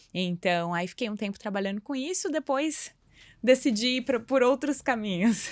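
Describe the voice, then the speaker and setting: A woman's fairly high voice with lively intonation at a moderate pace, dry and close with no echo, on a very clean recording with a silent background. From southern Brazil, Santa Catarina (Blumenau). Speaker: yoga teacher and school founder. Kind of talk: podcast interview.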